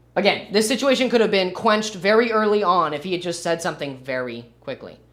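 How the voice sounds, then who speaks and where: With lively intonation and a high pitch, a man rattles along at a very fast pace. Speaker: livestreamer reacting to a video. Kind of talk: livestream reaction commentary. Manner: halting, with filler words.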